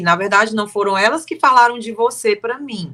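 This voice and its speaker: A woman's bright, sharp voice, fairly high in pitch, with very wide pitch swings at a moderate pace. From Brazil, Fortaleza (Ceará). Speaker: timeshare sales consultant. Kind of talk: casual interview chat.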